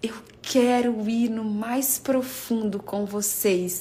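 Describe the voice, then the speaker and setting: A woman speaks in a room with audible echo. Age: 30s. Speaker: preacher. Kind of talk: sermon. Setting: livestream.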